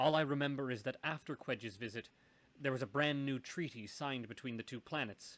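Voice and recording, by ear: A natural voice is heard reading a passage aloud.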